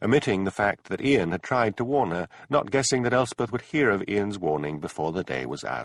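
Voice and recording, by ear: This reading aloud in a natural voice has lively intonation.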